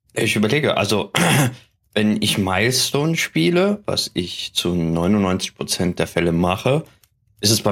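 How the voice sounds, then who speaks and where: Speaking fairly slowly, a man uses a fairly low pitch. His pitch varies in an ordinary way. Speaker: tabletop game master. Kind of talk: casual chat. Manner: hesitant, many fillers.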